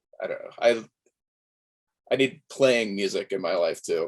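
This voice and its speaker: At a moderate pace, a man talks with an American accent. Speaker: musician. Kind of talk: interview. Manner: halting.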